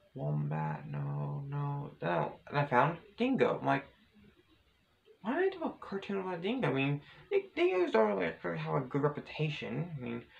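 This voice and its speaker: Speech unfolds at a moderate pace over noticeable background noise. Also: man. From Australia. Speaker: vlogger. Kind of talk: casual vlog monologue. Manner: halting, many repetitions and fillers.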